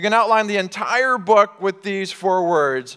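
The speaker is a man. Behind him, the background is quiet. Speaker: pastor. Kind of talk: sermon. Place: church. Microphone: headset.

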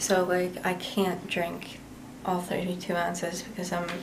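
A woman talks at a moderate pace. Noticeable background noise runs underneath. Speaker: chronic illness vlogger; vlogger. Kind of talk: casual vlog. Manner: hesitant, many fillers.

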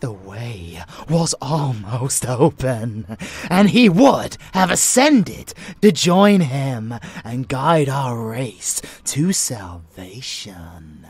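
A put-on character voice, very slow, with low-to-middle pitch. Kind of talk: dark romance roleplay. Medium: audio drama. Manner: playful, teasing, affectionate; fanatical, contemptuous when preaching.

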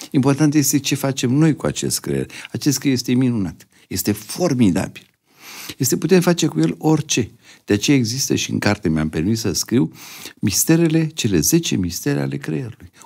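A man speaks at a moderate pace with a dark, mellow tone and very wide pitch swings. The background is quiet. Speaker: neurosurgeon and professor; professor. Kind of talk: interview. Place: studio. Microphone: studio mic.

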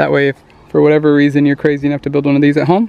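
A man talking at a very fast pace, dry sound with no echo. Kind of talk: tutorial. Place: open country. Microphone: phone near.

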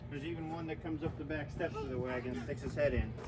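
Loud background noise surrounds a man talking at a very fast pace. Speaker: farm tour guide. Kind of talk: tour guide explanation. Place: farm machine. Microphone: camera far.

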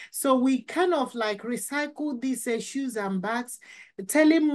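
The woman's pitch is high, with ordinary variation. She talks at a fairly slow pace over a quiet background. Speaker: podcast guest. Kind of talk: interview answer. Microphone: video call.

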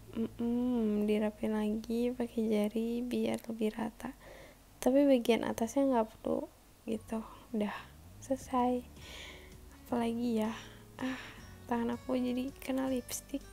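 A woman with a fairly high pitch and a dark, mellow tone talks at a fairly slow pace in a monotone, flat intonation, leaving long, frequent pauses. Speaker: beauty vlogger. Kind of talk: casual makeup vlog. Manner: casual, chatty. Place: home room. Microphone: phone near.

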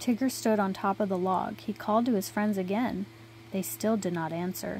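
Light background noise sits behind a woman whose somewhat breathy voice moves at a moderate pace. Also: dry sound with no echo. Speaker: reader of a children's book. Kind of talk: storybook read-aloud. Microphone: phone near.

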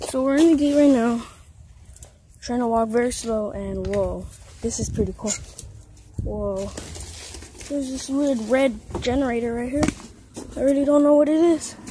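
A woman with a high pitch and fairly even intonation speaks at a moderate pace with long, frequent pauses, in dry sound with no echo and noticeable background noise. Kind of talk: casual vlog chat. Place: street. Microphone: phone near.

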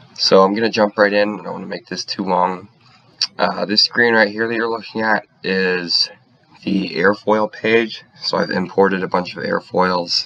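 There is noticeable background noise as a man talks at a moderate pace. His intonation is fairly even, with big swings in loudness. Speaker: engineering student. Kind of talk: software tutorial.

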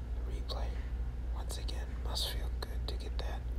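Loud background noise runs under speech at a fairly slow pace. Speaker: game commentator. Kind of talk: ASMR gameplay commentary.

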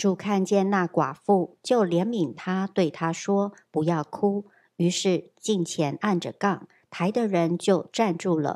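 On a very clean recording with a silent background, a woman with a dark, mellow tone speaks at a very slow pace with hardly any pauses, big swings in loudness and ordinary pitch variation. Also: medium pitch for a woman. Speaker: scripture reader. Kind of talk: reading aloud. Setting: church.

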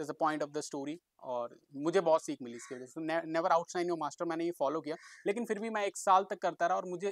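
In a very clean recording with a silent background and a dry, close sound without echo, a man speaks at a moderate pace in a high pitch with ordinary pitch variation. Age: 20s. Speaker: martial artist. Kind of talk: vlog monologue.

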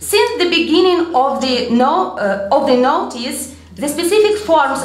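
Amid light background noise and audible room echo, a woman speaks at a very slow pace with very wide pitch swings. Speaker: literary scholar; conference speaker. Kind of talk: conference talk. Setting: stage with audience. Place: hall. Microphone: podium.

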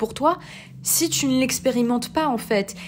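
Female speech at a moderate pace, ordinary in pitch variation, set against noticeable background noise. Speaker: podcast host and life coach. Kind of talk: casual monologue with advice. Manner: hesitant with many fillers.

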